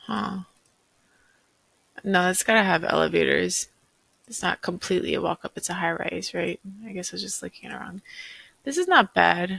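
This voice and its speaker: Mumbling at a moderate pace, a woman speaks with big swings in loudness and long, frequent pauses, recorded dry and close with no echo. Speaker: real estate agent. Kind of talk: casual unscripted commentary. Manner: thinking aloud, mumbling to herself.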